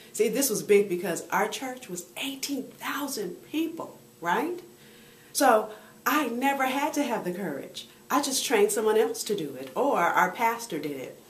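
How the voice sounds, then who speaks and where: Animated speech with very wide pitch swings and big swings in loudness, plus audible room echo and noticeable background noise. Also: woman, fairly high pitch for a woman, moderate pace. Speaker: motivational speaker and women's coach. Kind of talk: video blog monologue. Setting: on the road.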